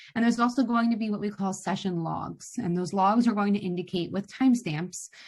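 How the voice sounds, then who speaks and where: Her voice somewhat breathy, a woman speaks at medium pitch. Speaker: software trainer. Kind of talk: online training session. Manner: fast.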